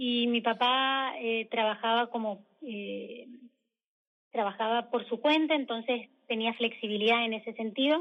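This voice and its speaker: Speaking in a Mendoza accent, a woman with a fairly high pitch talks at a fairly slow pace with fairly even intonation. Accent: Mendoza Argentine Spanish. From Argentina, Mendoza. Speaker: emigrant architect interviewee. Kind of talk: radio interview.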